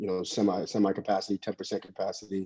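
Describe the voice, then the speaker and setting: A man's fairly low, dark, mellow voice with an American accent and monotone, flat intonation, in a dry, close sound with no echo. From Wilmington, Delaware, US. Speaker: amateur bodybuilder. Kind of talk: casual interview. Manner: halting, many fillers.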